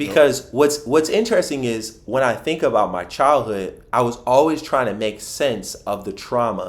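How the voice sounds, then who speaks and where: Over noticeable background noise, a man with a Philadelphia accent speaks at medium pitch and a moderate pace, his tone animated and his intonation lively. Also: hardly any pauses. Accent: Philadelphia American English. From Philadelphia, US. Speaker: financial advisor. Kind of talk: podcast interview.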